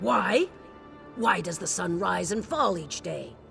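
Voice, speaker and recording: A put-on character voice, raspy and fairly slow, with clear music in the background. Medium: machinima. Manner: imperious, condescending.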